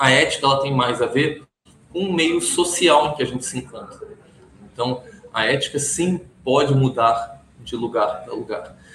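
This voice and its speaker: The speech has ordinary pitch variation and a moderate pace, with noticeable background noise. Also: man, fairly high pitch for a man. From Brazil. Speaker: compliance consultant. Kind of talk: interview. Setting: office.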